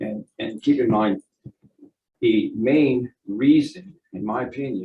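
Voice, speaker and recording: The delivery is very slow, with lively intonation throughout. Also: man, medium pitch for a man. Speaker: expert witness, economist. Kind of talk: court testimony. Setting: courtroom witness stand. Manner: halting.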